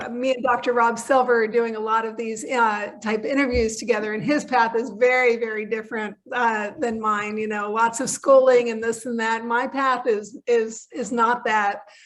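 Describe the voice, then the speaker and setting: A woman with a fairly high pitch talks at a moderate pace with fairly even intonation. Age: 60s. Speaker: veterinary technician and supplement educator. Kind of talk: interview. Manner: hesitant, many fillers.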